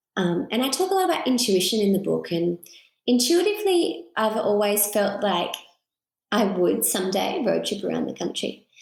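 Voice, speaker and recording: Moderate-paced speech from a woman with an Australian accent. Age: 30s. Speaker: author. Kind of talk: interview conversation.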